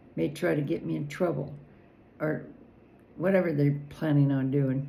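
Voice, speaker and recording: A woman with an American accent and a very deep, low pitch, at a moderate pace and with fairly even intonation, in audible room echo. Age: 70s. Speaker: political commentator. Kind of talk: personal vlog monologue. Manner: halting.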